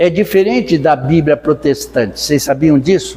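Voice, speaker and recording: Lively intonation from a male speaker, with noticeable noise behind him. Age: 80s+. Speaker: spiritist lecturer. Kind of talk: lecture. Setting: spiritist center with audience.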